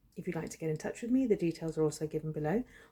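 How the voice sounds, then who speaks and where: A woman speaks at a very fast pace in a fairly low pitch, somewhat breathy. Her tone is dark and mellow, with ordinary pitch variation. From England, Shropshire. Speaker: storyteller, channel founder. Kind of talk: personal storytelling.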